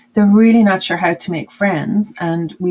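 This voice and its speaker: A woman speaks with an Irish accent and ordinary pitch variation. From Ireland. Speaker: webinar presenter on student exchange. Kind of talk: webinar presentation. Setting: online webinar.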